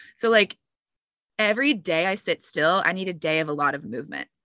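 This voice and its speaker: A woman with a normal speaking voice talks at a medium pitch with lively intonation. The sound is dry and close with no echo. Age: 30s. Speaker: van dweller and business owner. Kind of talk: casual interview.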